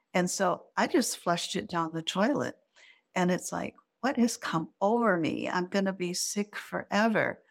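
With an American accent, a woman speaks at a fairly low pitch and a fairly slow pace, with vocal fry. The recording is very clean, the background silent. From US Midwest, Michigan. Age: 70s. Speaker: grant writing consultant and author. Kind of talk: interview, personal storytelling.

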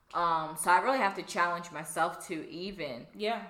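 Noticeable background noise fills the recording. A woman talks through it. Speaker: podcast co-host.

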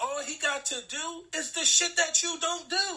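A man's raised, projected voice, animated and extremely high in pitch, over noticeable background noise. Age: 30s. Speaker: podcast co-host. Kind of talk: casual chat.

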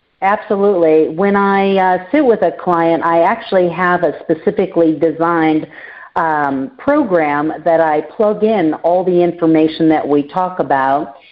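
A normal speaking voice from a woman, fairly low in pitch, with ordinary pitch variation. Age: 50s. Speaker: financial planner. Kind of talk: interview.

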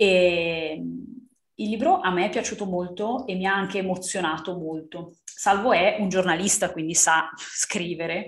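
A woman with an unremarkable speaking voice talks at a fairly slow pace, her medium pitch moving with ordinary variation. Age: 30s. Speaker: book podcast co-host. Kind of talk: casual chat.

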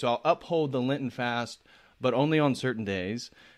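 On a very clean recording with a silent background, a man with an American accent speaks at medium pitch in an ordinary speaking voice with ordinary pitch variation. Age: 30s. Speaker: YouTube channel host. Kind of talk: casual chat.

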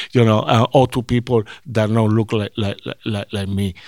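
A man speaks in a Puerto Rican accent. The recording is very clean and dry, close with no echo and a silent background. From Puerto Rico. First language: Spanish. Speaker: sports team diversity director. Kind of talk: interview. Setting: on location at a ballpark office. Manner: halting.

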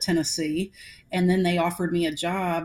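A woman's fairly low voice with an American accent, fairly even intonation and a moderate pace. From US South, Atlanta. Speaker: women's basketball association executive. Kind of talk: interview. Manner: halting, many repetitions.

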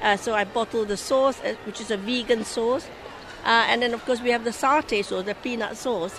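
A woman at a fairly high pitch and moderate pace, fairly even intonation, with noticeable background noise. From Singapore. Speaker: charity volunteer and restaurant owner. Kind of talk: casual interview. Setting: gift fair.

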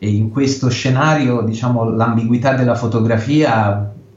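A man talks in a somewhat breathy voice, with audible room echo around him. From Italy. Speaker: photojournalist. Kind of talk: interview. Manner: halting.

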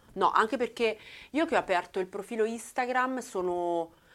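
The recording is very clean, with a silent background. A woman speaks with lively intonation. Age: 40s. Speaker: tattooed social media creator. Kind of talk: casual chat.

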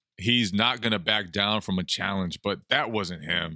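The tone is bright and sharp, with ordinary pitch variation at a moderate pace. The recording is very clean, with a silent background. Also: man. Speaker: sports journalist, debate guest. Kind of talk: casual sports debate.

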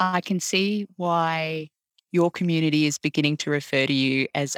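In a very clean recording with a silent background and a dry, close sound with no echo, a woman with an Australian accent speaks at a moderate pace with a very deep, low pitch, ordinary pitch variation and very even loudness. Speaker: podcast host, arts centre CEO. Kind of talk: interview conversation.

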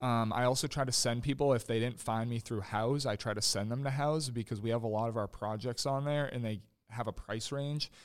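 A normal speaking voice comes at a fairly quick pace with fairly even intonation, in a very clean recording with a silent background. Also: man. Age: 20s. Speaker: landscaping business owner. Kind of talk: interview.

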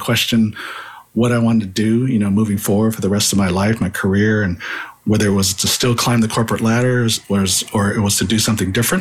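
This man has an American accent. He talks at a fairly quick pace with fairly even intonation. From California Bay Area. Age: 50s. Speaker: marketing consultant. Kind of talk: interview.

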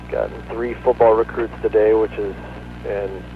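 With music playing in the background, a man talks at a moderate pace. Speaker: sports journalist. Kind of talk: radio interview. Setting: phone call. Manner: casual, filler-heavy.

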